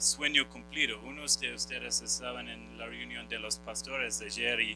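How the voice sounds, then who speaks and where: Music plays behind a man speaking with a non-native accent. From Australia. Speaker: missionary pastor. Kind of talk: conference seminar talk. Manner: halting, many fillers.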